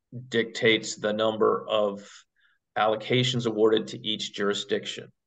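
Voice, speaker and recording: The man speaks at a moderate pace with fairly even intonation. The background is quiet. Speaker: government attorney. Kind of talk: public meeting discussion. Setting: video call. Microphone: video call.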